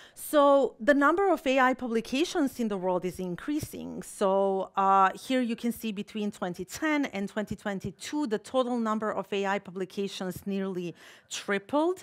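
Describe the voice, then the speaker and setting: A woman speaks with a Balkan accent at a fairly slow pace. The background is quiet. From Balkans. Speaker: political scientist and keynote speaker. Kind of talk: keynote lecture. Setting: stage with audience. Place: hall. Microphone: podium.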